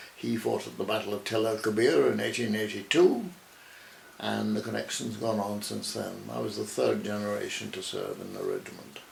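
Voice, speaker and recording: The man talks at a moderate pace, with audible room echo and noticeable background noise. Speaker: retired army officer. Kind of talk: interview.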